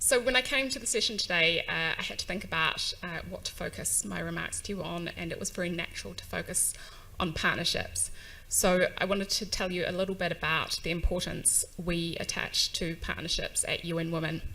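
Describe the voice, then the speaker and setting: In a New Zealand accent, a woman talks at a fairly quick pace amid audible room echo. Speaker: UN agency staff, conference speaker. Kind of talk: conference speech. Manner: hesitant fillers, um and uh.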